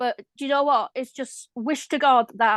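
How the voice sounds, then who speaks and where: A woman with a Welsh accent, moderate pace and fairly even intonation, in a dry, close sound with no echo. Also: quiet background. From Wales. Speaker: viewer. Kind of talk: casual chat.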